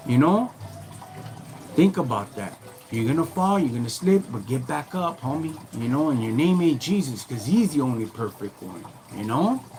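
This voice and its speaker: An American accent with very wide pitch swings, a moderate pace and long, frequent pauses, over noticeable background noise. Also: man, fairly high pitch for a man. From Southern California (Norwalk, Los Angeles County). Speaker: livestreamer. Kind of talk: casual livestream talk to chat viewers. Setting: live stream. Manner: animated.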